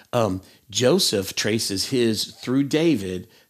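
On a very clean recording with a silent background, a man with an East Tennessee accent speaks at medium pitch with vocal fry and lively intonation. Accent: East Tennessee Southern. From US South, Tennessee. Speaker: schoolteacher. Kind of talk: bible study discussion.

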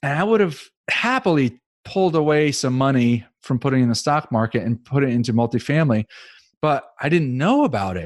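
Over a silent background in a very clean recording, a man with an ordinary speaking voice and medium pitch talks at a moderate pace with lively intonation. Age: 50s. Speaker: real estate investor and loan trader. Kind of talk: casual interview.

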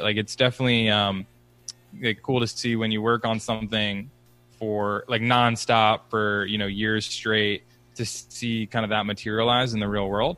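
With music in the background, a man in an American accent speaks at a medium pitch and with fairly even intonation. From Philadelphia, US. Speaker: startup founder. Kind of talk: casual interview.

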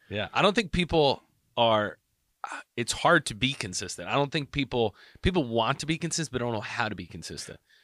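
Bright and sharp in tone, this fairly quick voice moves through very wide pitch swings on a very clean recording with a silent background. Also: man, medium pitch for a man. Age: 30s. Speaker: podcast co-host, real estate agent. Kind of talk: casual chat.

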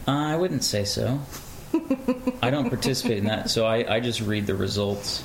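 A man at medium pitch speaks at a moderate pace, leaving long, frequent pauses, his loudness very even. Noticeable background noise runs throughout. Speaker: radio host, husband of host. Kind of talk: casual conversation with wife. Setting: recorded at home. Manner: monotone, long pauses.

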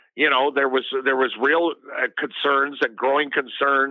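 A man's monotone, flat intonation. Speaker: political commentator. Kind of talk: casual interview.

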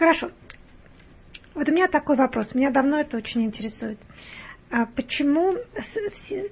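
Pausing long and often, a woman with a high pitch speaks at a moderate pace with lively intonation. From Russia, Penza. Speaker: hospital patient navigator, guest interviewer. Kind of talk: interview. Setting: studio.

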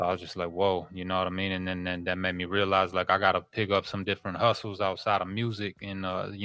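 A man with an American accent talks at a fairly quick pace in a very deep, low pitch with monotone, flat intonation. The sound is dry and close with no echo, and music plays in the background. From Minneapolis, Minnesota. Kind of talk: interview.

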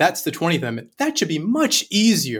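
This man has a Canadian accent and a somewhat breathy voice. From Canada. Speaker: law professor. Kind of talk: panel discussion. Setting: video call.

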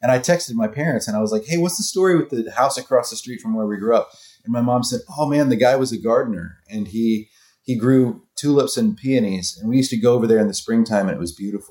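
Lively in intonation, a man with an American accent and medium pitch talks at a very fast pace. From US South, North Florida. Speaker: singer-songwriter and author. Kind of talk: interview.

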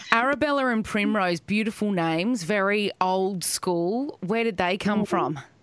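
A woman with an Australian accent speaks at a fairly slow pace, medium in pitch with ordinary variation and very even loudness, hardly pausing. Noticeable background noise can be heard. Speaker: podcast host. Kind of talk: casual chat.

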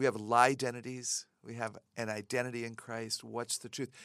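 Over a silent background on a very clean recording, a woman talks at a moderate pace with a very deep, low pitch. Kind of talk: casual interview conversation about faith.

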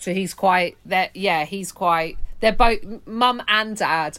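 A woman's very slow voice with a London accent, ordinary pitch variation and a bright, sharp tone. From West London. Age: 40s. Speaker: stand-up comedian. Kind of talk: casual chat.

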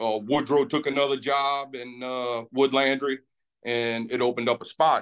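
In a Louisiana accent, a man talks at a medium pitch with fairly even intonation. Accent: Cajun Louisiana. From Lafitte, Louisiana. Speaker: dispatcher and Navy veteran. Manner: relaxed, hesitant with fillers.

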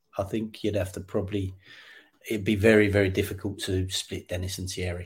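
Fairly low and somewhat breathy, a man's voice keeps a monotone, flat intonation. His pace is moderate. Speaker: football coach. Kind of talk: interview. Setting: remote call. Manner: halting.

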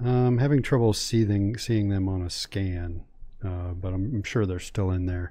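Here is a man with an ordinary speaking voice, fairly low in pitch, talking at a moderate pace with ordinary pitch variation. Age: 50s. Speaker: sports website founder. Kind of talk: casual sports chat. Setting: studio.

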